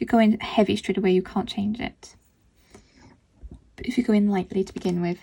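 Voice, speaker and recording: A woman talks at a fairly quick pace with long, frequent pauses and fairly even intonation. Her medium-pitched voice is somewhat breathy, with a dark, mellow tone. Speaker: art tutorial creator. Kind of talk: tutorial. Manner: distracted, concentrating while speaking.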